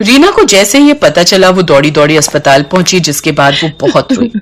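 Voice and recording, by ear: Using big pitch swings, a woman talks in a fairly bright tone.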